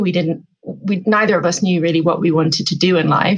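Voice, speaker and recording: A woman with an English accent speaks in a fairly low pitch with fairly even intonation. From England. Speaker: author and life coach. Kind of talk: podcast interview.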